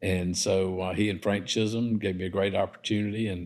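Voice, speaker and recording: On a very clean recording with a silent background, a man speaks in a flat, fairly low-pitched monotone at a moderate pace. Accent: South Carolina. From US South. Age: 70s. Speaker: developer and entrepreneur. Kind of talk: casual interview. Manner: halting, many fillers.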